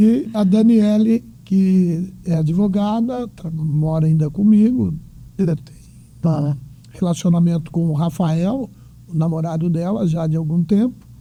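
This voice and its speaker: A man speaks at a high pitch in a dark, mellow tone, with ordinary pitch variation. His pace is fairly slow, broken by long, frequent pauses. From Brazil, Bauru (São Paulo state). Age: 60s. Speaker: retired executive and economist. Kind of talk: interview.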